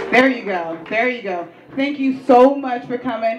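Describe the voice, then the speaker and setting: A woman with an American accent speaks at a moderate pace, with lively intonation and an animated tone. Audible room echo and noticeable background noise surround her. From Atlanta, US South. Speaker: interviewer and event host. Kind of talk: live event hosting. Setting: stage with audience. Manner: loud.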